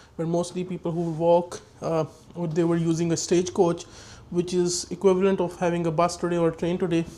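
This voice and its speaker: A man's high voice, dark and mellow in tone, monotone and flat, at a fairly quick pace. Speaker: travel vlogger. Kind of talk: walking tour vlog narration. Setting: indoors in a museum. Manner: hesitant, many fillers.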